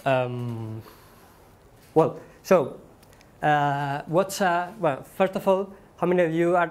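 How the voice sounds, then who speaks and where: A man with a Spanish accent speaks at a high pitch and a very slow pace. His speech has long, frequent pauses. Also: ordinary pitch variation. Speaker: software developer and conference speaker. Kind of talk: conference talk. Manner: halting, many fillers.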